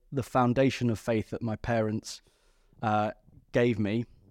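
A man at medium pitch and a moderate pace, monotone and flat, in a dry, close sound with no echo on a very clean recording with a silent background. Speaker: priest and vocations director. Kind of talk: casual chat. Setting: studio.

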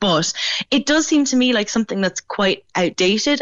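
Lively in her intonation, a woman talks at a moderate pace. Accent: Irish. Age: 20s. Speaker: features writer. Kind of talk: radio interview.

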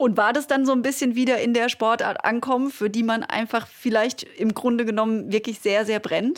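At a moderate pace, a plain, everyday voice talks with fairly even intonation and hardly any pauses. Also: woman, fairly high pitch for a woman, very even loudness. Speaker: podcast host, former sports journalist. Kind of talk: interview.

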